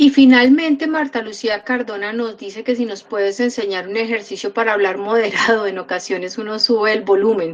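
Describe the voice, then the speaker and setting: With a Cúcuta accent and a fairly high pitch, a woman speaks with hardly any pauses and ordinary pitch variation against noticeable background noise. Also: fairly quick pace. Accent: Cúcuta accent, people think she is scolding. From Cúcuta, Colombia. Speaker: program host. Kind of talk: interview. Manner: loud, forceful.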